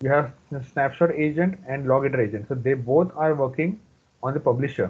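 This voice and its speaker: Delivery runs fairly quick. The pitch moves up and down in an ordinary way. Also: man, fairly high pitch for a man. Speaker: database trainer. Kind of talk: live training tutorial. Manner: fast.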